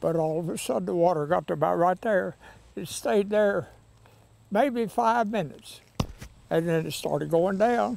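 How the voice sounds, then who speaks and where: With a Southern US accent, a man speaks at a high pitch and moderate pace, his intonation lively. Long pauses come often, and the sound is dry with no echo. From Tennessee. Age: 90s. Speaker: flood survivor. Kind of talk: interview. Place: open country.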